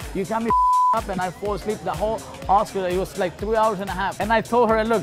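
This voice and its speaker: The sound is dry with no echo as a man speaks at a very fast pace over loud music in the background. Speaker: interviewee. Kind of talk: interview answer. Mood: jokey, laughing. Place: bar. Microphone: lapel.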